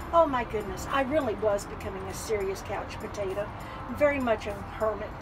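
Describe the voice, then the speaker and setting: Against background music and audible room echo, a woman speaks at a fairly quick pace with a fairly high pitch. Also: ordinary pitch variation. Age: 70s. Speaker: vintage trailer owner. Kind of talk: casual interview. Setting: inside a trailer at an outdoor event.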